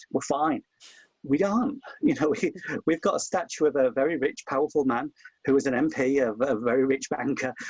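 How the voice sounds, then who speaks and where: With a Hull accent, a man talks at a fairly quick pace and fairly high pitch, showing ordinary pitch variation and very even loudness in a dry, close sound with no echo. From Hull, East Yorkshire, England. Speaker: historian. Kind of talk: webinar conversation. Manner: impassioned.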